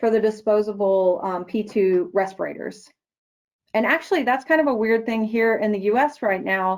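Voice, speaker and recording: A woman with a plain, everyday voice, a fairly high pitch and ordinary pitch variation, against a quiet background. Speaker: product manager presenting a product; presenter. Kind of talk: webinar presentation; answering audience questions. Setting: online webinar. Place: office. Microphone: webcam.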